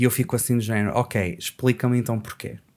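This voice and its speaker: A man talks fairly quickly with ordinary pitch variation, and the background is quiet. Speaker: poet and language teacher; poet, language teacher. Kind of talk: casual podcast conversation. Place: studio. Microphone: studio mic.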